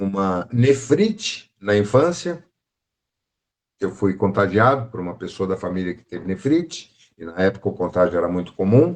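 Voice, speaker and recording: Against a quiet background, a man with a plain, everyday voice speaks fairly slowly at a fairly low pitch, with big swings in loudness. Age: 60s. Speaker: spiritist study group teacher. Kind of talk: lecture. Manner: conversational.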